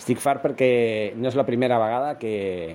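This man's speech shows ordinary pitch variation. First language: Spanish (speaking Catalan). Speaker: football podcaster. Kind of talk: solo football commentary podcast. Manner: hesitant, many fillers.

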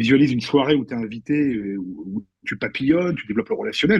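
A man talks at a medium pitch. His voice moves through very wide pitch swings. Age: 50s. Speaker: actor. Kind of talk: casual chat. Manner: animated.

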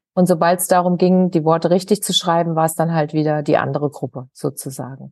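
A woman with a fairly low pitch and an ordinary speaking voice talks at a fairly quick pace with hardly any pauses. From Germany, Hesse (Wiesbaden). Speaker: author and hypnosis coach. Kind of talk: interview.

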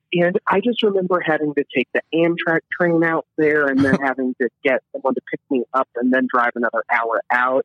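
A man's ordinary speaking voice, fairly high-pitched, with an American accent, lively intonation, very even loudness and a moderate pace. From US Midwest and South, Illinois/Kentucky. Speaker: stand-up comedian. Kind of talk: casual chat.

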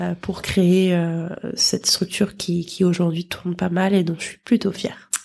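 A woman speaks at a fairly slow pace, her pitch in the medium range. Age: 20s. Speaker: model school founder, former model. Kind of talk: casual chat. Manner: animated.

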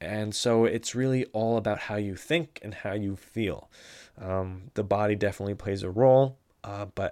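On a very clean recording with a silent background, a man in an unremarkable speaking voice talks at a moderate pace with a fairly low pitch. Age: 20s. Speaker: podcast host. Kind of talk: solo podcast monologue. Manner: conversational with frequent fillers.

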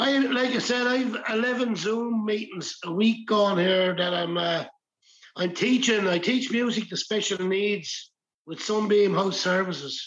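In an Irish accent, a man speaks with a high pitch. His pace is fairly slow and his pitch variation ordinary. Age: 60s. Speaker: folk musician and music teacher. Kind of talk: casual chat.

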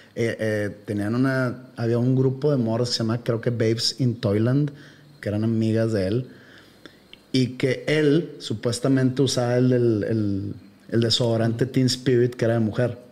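A man speaks in a medium-pitched, dark, mellow voice with monotone, flat intonation. His loudness stays very even and his pace is fairly slow. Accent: Mexican. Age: 40s. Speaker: podcast host. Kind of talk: casual chat.

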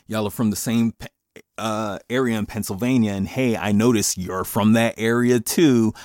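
A man with an American accent speaks in an animated tone at a medium pitch and moderate pace, in a dry, close sound with no echo. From Paterson, New Jersey, with childhood in rural Jamaica. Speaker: podcast host. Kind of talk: casual monologue rant. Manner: animated, laughing often.

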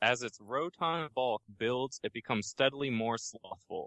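With an American accent, a man speaks at a medium pitch in a plain, everyday voice. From Baltimore, US. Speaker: Pokemon blog writer. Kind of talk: casual chat.

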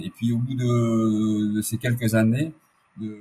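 This man has an ordinary speaking voice at medium pitch. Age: 50s. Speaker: ultra-endurance athlete. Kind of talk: interview.

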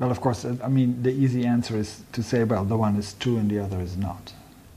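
Somewhat breathy and dark, mellow in tone, a man talks at a moderate pace with a Dutch accent. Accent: Dutch-accented English, soft G. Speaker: philosophy professor. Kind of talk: academic interview conversation.

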